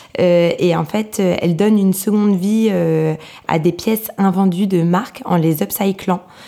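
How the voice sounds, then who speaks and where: Over noticeable background noise, the speech moves at a very slow pace with fairly even intonation. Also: woman. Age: 30s. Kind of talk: interview. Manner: hesitant, many fillers.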